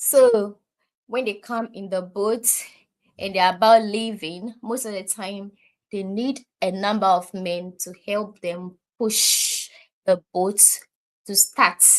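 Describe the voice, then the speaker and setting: A speaker with a Ghanaian accent talks at a very slow pace, with fairly even intonation, long and frequent pauses, and big swings in loudness. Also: woman, medium pitch for a woman. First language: Ewe. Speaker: live streamer. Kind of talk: live stream chat. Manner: conversational, reads chat aloud.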